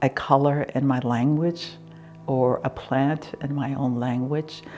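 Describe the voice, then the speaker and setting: Speech comes at a very slow pace in a Southwestern US accent. Music plays in the background. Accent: Navajo-accented English. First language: Navajo. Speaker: tapestry artist. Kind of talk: casual conversation. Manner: halting, with fillers.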